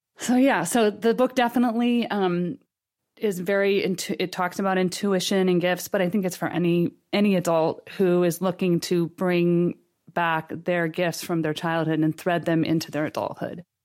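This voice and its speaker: Recorded very cleanly against a silent background, a woman with a fairly low pitch talks at a moderate pace, with ordinary pitch variation and very even loudness. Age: 50s. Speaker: author and intuitive counselor. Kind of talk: casual chat. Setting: studio.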